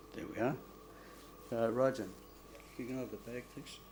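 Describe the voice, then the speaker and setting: Moderate pace with big swings in loudness and audible room echo. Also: man. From Australia. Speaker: doctor. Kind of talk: public lecture. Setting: stage with audience. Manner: halting.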